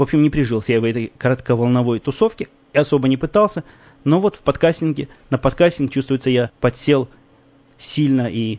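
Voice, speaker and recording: Dry and close with no echo, a man's dark, mellow voice moves at a fairly quick pace and medium pitch, with lively intonation and long, frequent pauses. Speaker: podcast host. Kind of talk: casual monologue. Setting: home recording. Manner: soft-spoken.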